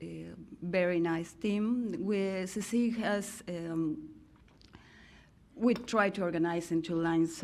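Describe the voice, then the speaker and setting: In a Mexican accent, a woman speaks at a very slow pace. Room echo is audible. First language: Spanish. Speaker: sociologist and NGO director. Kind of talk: keynote talk. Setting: podium with audience. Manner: halting.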